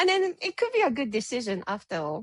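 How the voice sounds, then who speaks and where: A woman with a Japanese accent speaks very fast at a high pitch. The sound is dry and close, with no echo. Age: 30s. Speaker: photographer and business owner. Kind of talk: interview.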